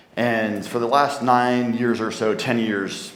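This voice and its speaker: An American-accented man is heard with audible room echo and noticeable background noise. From New Jersey, US. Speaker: tech company founder, conference speaker. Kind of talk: conference talk. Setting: stage with audience. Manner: fast.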